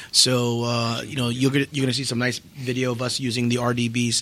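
Monotone, flat intonation in an American accent, with noticeable background noise. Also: man. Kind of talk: casual chat. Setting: trade show crowd.

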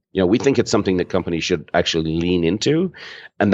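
With an Irish accent, the speaker's pitch swings very widely over a quiet background. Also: man. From Ireland. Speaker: marketing consultant and author. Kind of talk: interview.

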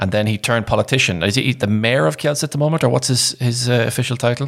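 This man has an unremarkable speaking voice with ordinary pitch variation. His pace is fairly quick. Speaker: podcast host. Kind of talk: casual banter. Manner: joking, chatty.

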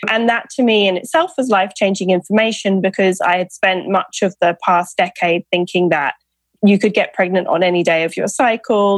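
A woman with a British accent, medium in pitch, at a moderate pace with ordinary pitch variation, in a dry, close sound with no echo and a quiet background. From UK. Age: 30s. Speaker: author and fertility awareness educator. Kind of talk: interview.

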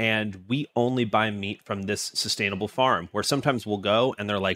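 A man's normal speaking voice, fairly low in pitch with fairly even intonation, at a moderate pace on a very clean recording with a silent background. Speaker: podcast producer. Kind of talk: casual chat.

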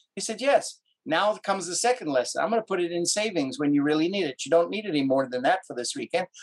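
Animated in tone, a man races along at a very fast pace with very wide pitch swings in a dry, close sound with no echo. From South Africa, Cape Town. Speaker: actor and film producer. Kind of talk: interview.

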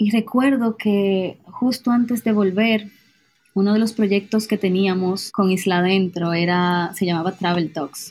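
A woman talks at a fairly slow pace, somewhat breathy. The recording is very clean, with a silent background. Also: medium pitch for a woman, fairly even intonation, very even loudness. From Dominican Republic. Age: 20s. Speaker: traveler and storyteller. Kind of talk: personal testimony.

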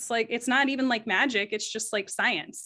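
Against a quiet background, a woman with a normal speaking voice talks at a fairly quick pace, her fairly high pitch held in fairly even intonation. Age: 30s. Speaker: group engagement strategist. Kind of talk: interview.

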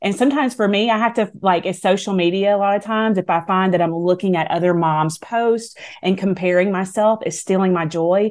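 In a Southern US accent, the speaker moves at a fairly quick pace with very even loudness over a quiet background. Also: woman. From US South. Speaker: author and speaker. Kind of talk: radio interview chat.

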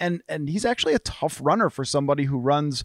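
With a normal speaking voice, a man talks at a fairly high pitch and fairly quick pace in a dry, close sound with no echo, on a very clean recording with a silent background. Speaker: sports journalist. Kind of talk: casual chat.

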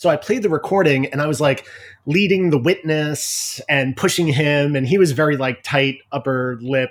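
A man with an American accent talks at a moderate pace. His pitch sits fairly high and varies in an ordinary way. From US Northeast, Long Island, New York. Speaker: arts writer and curator. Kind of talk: casual interview.

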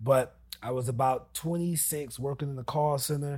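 Somewhat breathy man's voice, fairly high in pitch, with fairly even intonation. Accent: American. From US Northeast, New Jersey. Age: 30s. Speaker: real estate investor. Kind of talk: casual interview. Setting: studio.

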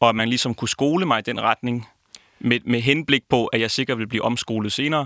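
A man's bright, sharp tone at a fairly quick pace, with fairly even intonation. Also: medium pitch for a man. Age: 20s. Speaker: opera singing student. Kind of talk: interview.

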